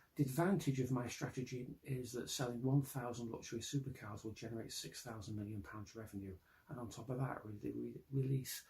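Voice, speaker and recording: At a medium pitch and a fairly quick pace, a man speaks in a dark, mellow, somewhat breathy tone with ordinary pitch variation. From Britain. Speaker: science fiction writer. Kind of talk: pitch presentation to camera.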